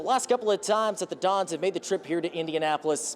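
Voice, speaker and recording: An upbeat, energetic man speaks with an American accent. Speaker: sports reporter and anchor. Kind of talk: local TV sports news reporting. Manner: upbeat, energetic, conversational.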